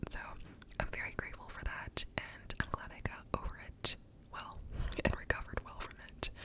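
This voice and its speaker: Whispering at a moderate pace with long, frequent pauses, a woman shows big swings in loudness over noticeable background noise. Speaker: ASMR creator. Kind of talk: ASMR whispered ramble to camera. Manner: whispered.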